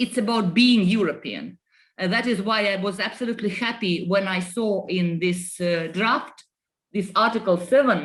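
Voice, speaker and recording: Somewhat breathy, with a Russian accent, the voice moves at a moderate pace with ordinary pitch variation. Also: woman, medium pitch for a woman. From Estonia. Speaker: politician. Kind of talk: panel discussion. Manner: halting.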